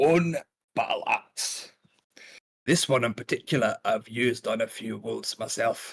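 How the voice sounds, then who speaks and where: A man's raspy, put-on character voice at a moderate pace, broken by long, frequent pauses, with a dry, close sound and no echo. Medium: actual play. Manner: folksy, friendly.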